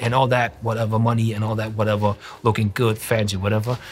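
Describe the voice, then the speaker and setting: Over noticeable background noise, a man speaks at a medium pitch with monotone, flat intonation. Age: 40s. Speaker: graffiti artist. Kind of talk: interview. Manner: halting.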